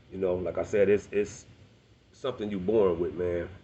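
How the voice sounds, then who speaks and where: A man's very deep, low voice with vocal fry and an American accent. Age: 40s. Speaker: rapper. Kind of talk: personal monologue to camera. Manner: fast; halting.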